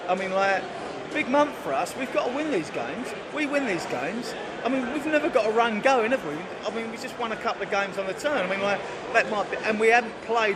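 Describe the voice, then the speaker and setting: A man's extremely high voice at a very fast pace, lively intonation, noticeable background noise and audible room echo. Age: 60s. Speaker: football fan. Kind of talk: casual chat. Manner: halting.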